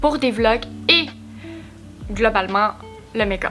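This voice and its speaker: With music in the background, a woman with a Quebec accent talks at a fairly slow pace in a fairly high pitch with ordinary pitch variation. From Quebec, Abitibi-Témiscamingue (Rouyn-Noranda). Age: 20s. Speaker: vlogger and makeup creator. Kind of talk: casual vlog introduction to camera.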